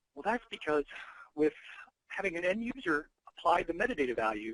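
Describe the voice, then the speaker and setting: Speaking very fast, a man uses a high pitch with very wide pitch swings. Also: dry, close sound with no echo. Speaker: software company presenter. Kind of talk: webinar presentation. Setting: online webinar.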